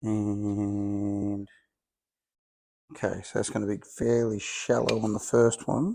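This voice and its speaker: Mumbling at a very slow pace, a man with an Australian accent leaves long, frequent pauses. His fairly low pitch carries a dark, mellow tone and fairly even intonation. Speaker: home car restorer. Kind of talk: workshop tutorial.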